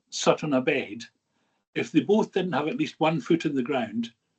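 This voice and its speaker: A man speaks with a Scottish accent at a moderate pace. His pitch swings very widely. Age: 50s. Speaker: RAF veteran. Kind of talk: interview.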